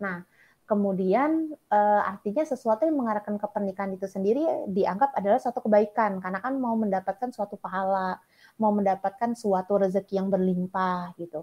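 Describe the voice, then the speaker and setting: The sound is dry and close with no echo over a quiet background. A woman speaks in a dark, mellow tone with ordinary pitch variation. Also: medium pitch for a woman, fairly quick pace. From Sumatra, Indonesia. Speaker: clinical psychologist and lecturer. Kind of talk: interview.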